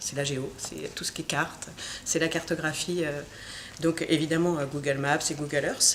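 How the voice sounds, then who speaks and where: Noticeable background noise lies under speech delivered at a moderate pace. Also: woman. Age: 30s. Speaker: software engineer. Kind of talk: interview. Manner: hesitant, many filler sounds.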